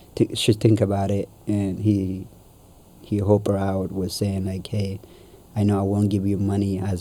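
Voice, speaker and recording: With an Ethiopian accent, a man talks at a moderate pace in a fairly low pitch with monotone, flat intonation. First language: Amharic. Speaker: guest sharing life story. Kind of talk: casual interview. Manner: halting.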